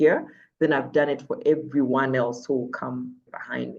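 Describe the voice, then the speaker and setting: A woman speaks with lively intonation. Her tone is animated. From Uganda. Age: 30s. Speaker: TV and radio presenter. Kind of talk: interview conversation.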